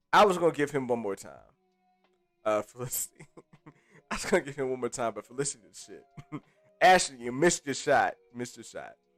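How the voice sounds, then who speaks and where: Over background music, a man at medium pitch talks at a very fast pace with long, frequent pauses, lively intonation, an animated tone and big swings in loudness, dry and close with no echo. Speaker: livestream host. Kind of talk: casual livestream chat. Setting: live stream. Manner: animated, casual.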